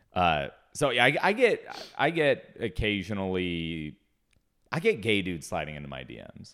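A man's very deep, low voice with vocal fry, very wide pitch swings and big swings in loudness. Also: moderate pace, very clean recording, silent background. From US Pacific Northwest, Seattle. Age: 30s. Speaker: comedian. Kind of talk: casual chat.

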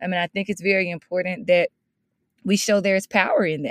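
Recorded dry and close with no echo and a silent background on a very clean recording, a woman with a Mississippi accent speaks at a medium pitch in an animated tone. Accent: Southern US (Mississippi), rural. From Mississippi, US South. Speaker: education consultant and motivational speaker. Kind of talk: interview.

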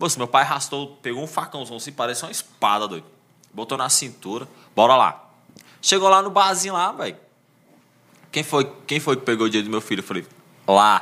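A man with a medium-pitched voice talks at a fairly quick clip, his bright, sharp tone swinging widely in pitch and greatly in loudness, broken by long, frequent pauses. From Brazil, Ceilândia (Federal District). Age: 30s. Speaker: social media page creator and stand-up comedian. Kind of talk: casual chat.

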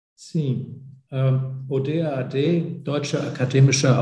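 Speaking in a German accent at a very slow pace, a man has a dark, mellow, somewhat breathy tone with ordinary pitch variation. Audible room echo surrounds him. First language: German (speaking Portuguese). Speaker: academic exchange organization director. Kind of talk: interview. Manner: halting.

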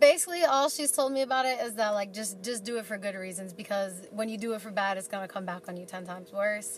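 Through noticeable background noise, a woman with an American accent speaks with ordinary pitch variation. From New York City. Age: 20s. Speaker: materials engineer. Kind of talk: casual chat.

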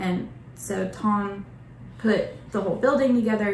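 Audible room echo surrounds a woman who speaks at a medium pitch and a fairly slow pace. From Oklahoma, Bartlesville. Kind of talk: casual interview.

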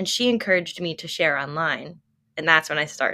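A woman speaks in a fairly low pitch with an American accent. The recording is very clean, with a silent background. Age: 20s. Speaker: content creator and health coach. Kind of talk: casual interview.

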